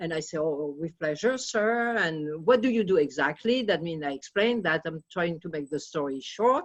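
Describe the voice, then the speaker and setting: With a French accent, the speaker keeps a moderate pace while the pitch swings very widely. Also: woman. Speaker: audience member telling a story. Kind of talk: anecdote in Q&A.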